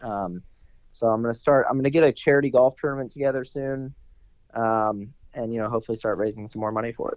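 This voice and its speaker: Talking at a very fast pace, a man with an American accent keeps his intonation fairly even. His loudness swings widely. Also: medium pitch for a man. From Maryland, near Washington D.C. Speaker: professional golfer. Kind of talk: casual chat.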